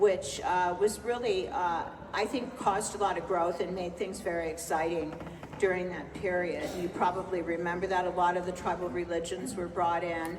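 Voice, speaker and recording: A woman with an American accent speaks at a moderate pace and a fairly low pitch with fairly even intonation. Noticeable background noise and audible room echo sit behind her. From California (Los Angeles). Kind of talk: book festival conversation, Q&A. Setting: stage with audience.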